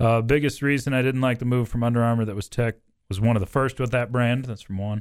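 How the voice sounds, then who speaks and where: A man with an unremarkable speaking voice at a medium pitch and a fairly quick pace, on a very clean recording with a silent background. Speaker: radio sports talk host. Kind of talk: casual sports talk chat. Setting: radio studio.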